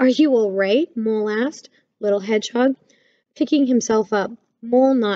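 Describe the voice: Ordinary pitch variation in plain reading aloud, with a quiet background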